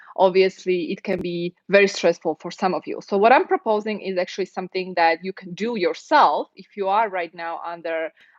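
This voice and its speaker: A woman with a non-native accent speaks at a moderate pace, in a medium pitch with ordinary pitch variation. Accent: foreign. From Europe. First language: non-English European language. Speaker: immigration lawyer. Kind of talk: live stream Q&A and advice talk. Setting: live stream. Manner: conversational, with fillers.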